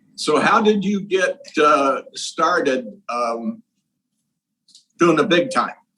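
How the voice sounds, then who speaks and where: A man with a Midwestern American accent and a high pitch speaks very slowly in a bright, sharp tone, with very wide pitch swings and long, frequent pauses. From Indiana, Terre Haute. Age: 70s. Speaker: interviewer. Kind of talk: interview.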